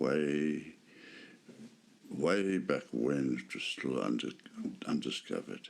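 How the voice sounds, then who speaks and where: In a calm tone, a man with a very deep, low pitch speaks very slowly, with ordinary pitch variation and long, frequent pauses. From Africa. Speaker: meditation guide. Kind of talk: guided meditation. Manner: slow, calm.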